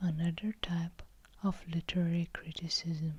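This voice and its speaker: Someone whispers at a very slow pace. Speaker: ASMR book reviewer. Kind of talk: ASMR literary lecture. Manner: whispered.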